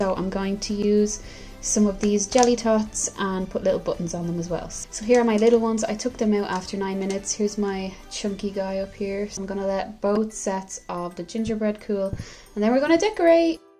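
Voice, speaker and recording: A woman talks at a fairly quick pace with an Irish accent and ordinary pitch variation, faint music playing in the background. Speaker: home baker. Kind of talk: casual talk to camera. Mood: light, jokey. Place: kitchen.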